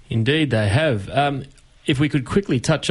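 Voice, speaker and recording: A man with an Australian accent talks at a moderate pace over a quiet background. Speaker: community radio host. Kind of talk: radio talk show. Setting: radio studio.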